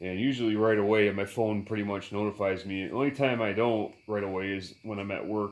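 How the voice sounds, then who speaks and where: The speaker goes at a fairly quick pace with hardly any pauses. Intonation stays fairly even. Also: man. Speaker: vise restoration hobbyist, YouTuber. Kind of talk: casual vlog talk to viewers. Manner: halting, many fillers.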